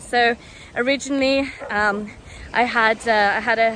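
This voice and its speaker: Fairly even intonation from a woman, with noticeable noise in the background. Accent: British. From United Kingdom. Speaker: language student. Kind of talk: testimonial. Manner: casual, hesitant with fillers.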